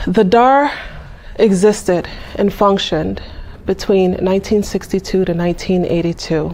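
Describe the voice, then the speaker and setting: Against noticeable background noise, a woman with a New York accent speaks at a fairly slow pace and a medium pitch. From Brooklyn, New York. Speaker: museum curator. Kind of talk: public talk, historical presentation. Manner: conversational, with fillers.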